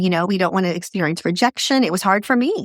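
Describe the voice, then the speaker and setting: A woman has an unremarkable speaking voice at medium pitch. The sound is dry and close, with no echo. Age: 60s. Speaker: franchise business founder and CEO. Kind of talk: podcast interview.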